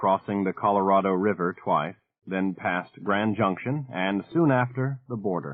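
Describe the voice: Quiet surroundings and plain reading aloud, with pitch that varies in an ordinary way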